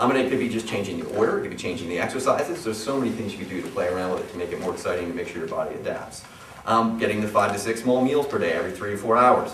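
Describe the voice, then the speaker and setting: Very fast and at medium pitch, a man talks with ordinary pitch variation. Audible room echo and noticeable background noise surround him. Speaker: personal trainer. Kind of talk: seminar talk to live audience. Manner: animated, repetitive stammering.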